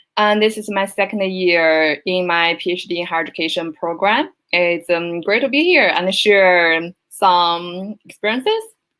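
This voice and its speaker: A bright, sharp tone at a moderate pace with hardly any pauses and ordinary pitch variation. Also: woman, medium pitch for a woman. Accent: Chinese. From China. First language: Chinese. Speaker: PhD student. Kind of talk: panel discussion.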